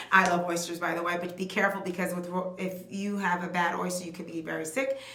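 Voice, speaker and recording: With an American accent, a woman talks fairly quickly at a medium pitch, with audible room echo and noticeable background noise. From New York City. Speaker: beauty vlogger. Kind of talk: tutorial. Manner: fast; animated.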